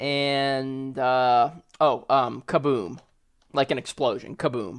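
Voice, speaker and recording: Over a quiet background, the speech unfolds at a very slow pace. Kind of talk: casual phone conversation.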